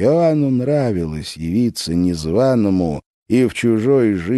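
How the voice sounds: A natural reading voice with lively intonation over a quiet background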